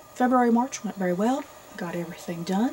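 Light noise hums behind a woman whose pitch varies in an ordinary way. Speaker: book vlogger. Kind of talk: casual vlog chat. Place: home room.

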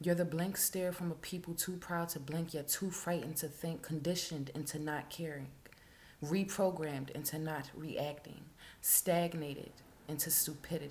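A woman's very deep, low voice comes out somewhat breathy, with monotone, flat intonation. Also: moderate pace. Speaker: poet. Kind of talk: spoken word poetry reading. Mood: intense, somber. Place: home room. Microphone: webcam.

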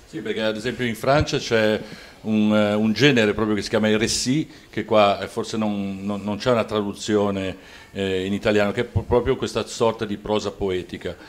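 With an ordinary speaking voice, a man speaks at a moderate pace in a fairly low pitch and fairly even intonation. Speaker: poet and interviewer, show host. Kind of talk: interview. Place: home room. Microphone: handheld.

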